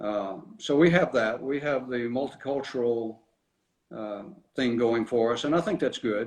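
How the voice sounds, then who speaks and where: A man with a Tennessee accent, medium pitch and fairly slow pace. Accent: Southern US (Tennessee). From US South, small-town West Tennessee. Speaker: mayor. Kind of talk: casual interview.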